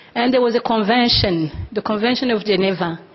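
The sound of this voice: A woman's medium-pitched voice with a slightly husky edge, ordinary pitch variation and a fairly quick pace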